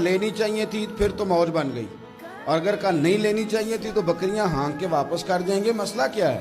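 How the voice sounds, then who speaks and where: Over background music, a man speaks in a high pitch with fairly even intonation. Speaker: Islamic preacher. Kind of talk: religious sermon in Urdu. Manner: emotional, passionate, storytelling.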